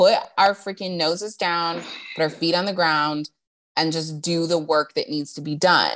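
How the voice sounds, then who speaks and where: The speaker uses an ordinary speaking voice at a fairly slow pace with fairly even intonation. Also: woman, fairly low pitch for a woman, very clean recording, silent background. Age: 20s. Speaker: podcast host. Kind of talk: casual chat. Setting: in person, walking around.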